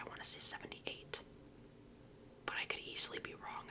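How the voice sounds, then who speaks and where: A voice whispers. There is noticeable background noise as well. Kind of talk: ASMR oracle card reading, casual talk to camera. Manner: whispered, soft-spoken.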